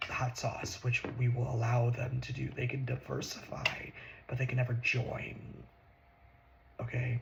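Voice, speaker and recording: Soft-spoken, a man talks at a fairly slow pace. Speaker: ASMR creator. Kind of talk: ASMR political talk.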